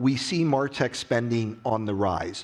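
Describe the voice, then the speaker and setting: A man's plain, everyday voice with an American accent, medium pitch, ordinary pitch variation and a fairly slow pace. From US, West Virginia. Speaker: industry analyst. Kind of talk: conference keynote. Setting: stage with audience.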